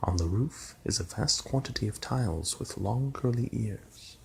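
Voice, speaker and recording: Soft-spoken and somewhat breathy, a man talks at a fairly slow pace. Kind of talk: ASMR story reading.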